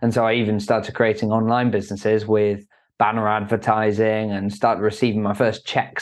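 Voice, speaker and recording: A man with an English accent, fairly low pitch, and a monotone, flat intonation against a quiet background. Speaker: entrepreneur. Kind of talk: interview.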